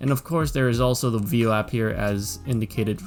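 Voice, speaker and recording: Music runs in the background while someone talks at a moderate pace. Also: man. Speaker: economist and trader. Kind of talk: stock market analysis commentary.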